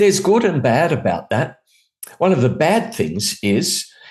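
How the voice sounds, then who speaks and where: A man with an Australian accent at a moderate pace. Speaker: international media trainer and radio specialist. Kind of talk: conversational interview.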